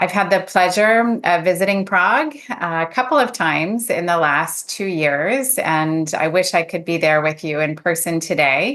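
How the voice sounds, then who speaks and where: Speaking with hardly any pauses, a woman with an American accent uses lively intonation at a fairly low pitch. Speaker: clinical psychologist and professor. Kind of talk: conference talk. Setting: video call. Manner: deliberately slowed for interpreters.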